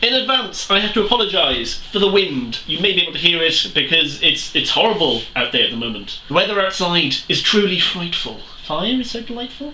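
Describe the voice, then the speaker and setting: A high-pitched man with very wide pitch swings at a moderate pace, amid noticeable background noise and audible room echo. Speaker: booktuber. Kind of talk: casual vlog.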